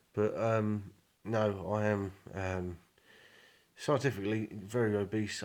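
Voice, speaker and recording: With a southern English accent, a man speaks in a fairly low pitch and a monotone, flat intonation. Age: 20s. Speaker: vlogger. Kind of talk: personal video diary. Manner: hesitant, many fillers.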